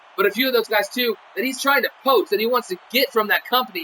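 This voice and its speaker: The voice is raised and projected, with lively intonation. It moves at a very fast pace. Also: man. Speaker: wrestling game show announcer. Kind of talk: post-show commentary livestream. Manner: rambling with many fillers.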